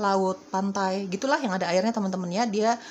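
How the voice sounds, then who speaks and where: There is noticeable background noise as a woman talks at a very fast pace. Her pitch is medium, with ordinary pitch variation. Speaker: tarot reader. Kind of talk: tarot reading. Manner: casual, repetitive.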